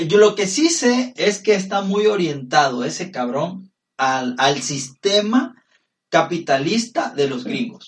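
Very wide pitch swings mark a high-pitched man speaking at a very slow pace. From Norway. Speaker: podcast co-host. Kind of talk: casual chat.

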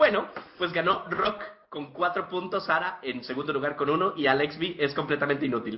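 Fairly high male pitch with ordinary pitch variation at a moderate pace, over noticeable background noise. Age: 20s. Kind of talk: casual chat.

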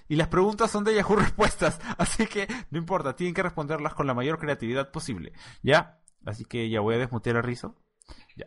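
A man speaks with a fairly high pitch at a fairly quick pace. His pitch swings very widely. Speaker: podcast host. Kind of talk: casual chat.

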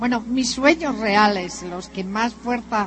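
Noticeable background noise is present. Over it, a woman talks at a fairly slow pace. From northern Spain (Santander). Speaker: motivational speaker, businesswoman. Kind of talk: motivational talk. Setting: stage with audience.

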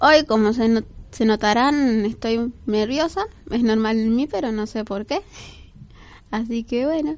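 Against a quiet background, a woman with a fairly high pitch and ordinary pitch variation speaks fairly slowly, leaving long, frequent pauses. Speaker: radio host. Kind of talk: casual radio talk.

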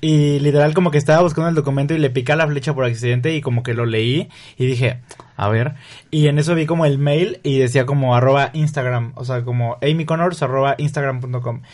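A man with an unremarkable speaking voice talks at a fairly quick pace. His pitch is fairly high and his intonation fairly even. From Mexico, Río Verde, San Luis Potosí. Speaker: content creator and photographer. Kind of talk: casual interview.

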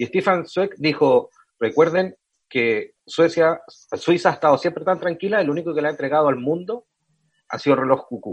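A man with a Chilean accent, fairly high pitch and moderate pace. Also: ordinary pitch variation. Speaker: podcast host. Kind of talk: casual interview chat.

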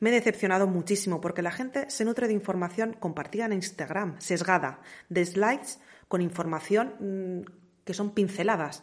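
At a moderate pace, a woman talks in a normal speaking voice with a medium pitch and ordinary pitch variation. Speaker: podcast host. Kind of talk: scripted monologue.

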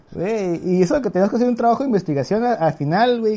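A very fast, lively man with a high pitch, a dark, mellow tone and a Mexican accent. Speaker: podcast host, physician. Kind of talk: casual chat.

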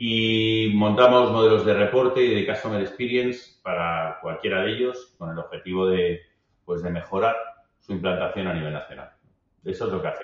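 Using a plain, everyday voice, a man talks at a moderate pace and medium pitch, his pitch varying in an ordinary way. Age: 50s. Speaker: business executive. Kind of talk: interview conversation.

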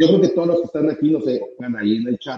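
A man speaks with very wide swings in pitch. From Mexico. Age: 30s. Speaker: company founder and trainer. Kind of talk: interview on live stream.

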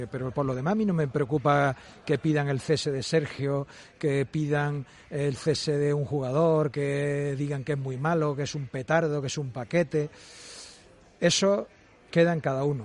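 At a moderate pace, an unremarkable speaking voice keeps a fairly even intonation. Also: man, fairly high pitch for a man. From Valladolid, Spain. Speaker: football sporting director. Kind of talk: radio interview. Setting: live broadcast from a restaurant.

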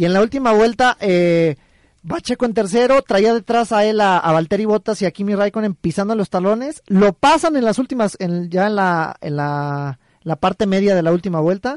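Heard in a dry, close sound with no echo, a man speaks at a moderate pace in a high pitch with lively intonation. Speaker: sports radio co-host. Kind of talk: casual chat.

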